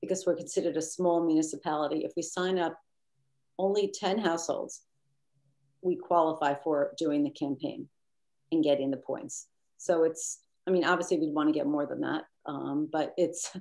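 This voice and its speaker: A woman with a fairly low-pitched voice speaks with long, frequent pauses. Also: fairly even intonation. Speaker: committee member presenting program. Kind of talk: committee meeting discussion. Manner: fast.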